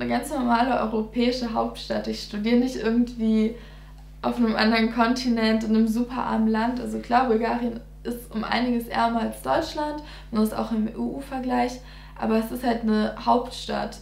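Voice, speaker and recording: A woman speaks at a moderate pace. There is audible echo from the room. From Germany, near Giessen (Hesse); Hesse, Germany. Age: 20s. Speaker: dentistry student; interviewee. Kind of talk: casual interview. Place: home room.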